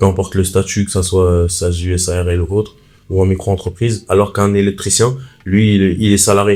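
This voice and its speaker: This man's voice is very deep and low, with a dark, mellow tone. He talks fairly quickly in a flat monotone. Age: 20s. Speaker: electrician and content creator. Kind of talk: casual podcast interview.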